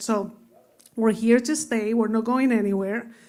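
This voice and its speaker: She speaks in a fairly high pitch at a moderate pace. Her intonation is fairly even. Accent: Spanish. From Spain (Madrid). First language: Spanish. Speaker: finance executive. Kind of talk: panel discussion.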